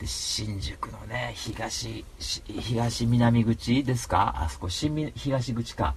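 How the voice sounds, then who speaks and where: A man speaks against noticeable background noise. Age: 30s. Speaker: podcast host. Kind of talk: casual chat. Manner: animated.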